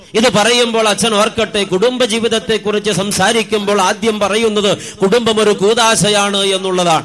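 With noticeable background noise behind him, a man speaks in a high pitch at a very even loudness. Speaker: priest. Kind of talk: sermon. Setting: stage with audience. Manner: animated.

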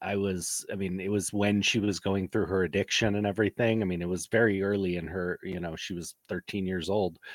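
In a very clean recording with a silent background, a man with a very deep, low pitch talks at a moderate pace in a dry, close sound with no echo and a monotone, flat intonation. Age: 40s. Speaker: podcast co-host. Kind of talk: casual chat.

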